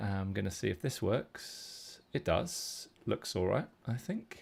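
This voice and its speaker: A man speaks with a British accent and vocal fry. His pace is fairly slow and his intonation is lively. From UK. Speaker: poker coach. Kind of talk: live stream poker tutorial. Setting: live stream.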